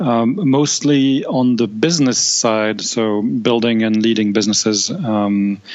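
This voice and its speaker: Amid noticeable background noise, a man with a French accent talks fairly slowly at a medium pitch, with ordinary pitch variation, very even loudness and hardly any pauses. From France. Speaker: tech company executive. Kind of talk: podcast interview. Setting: remote call. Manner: hesitant, many fillers.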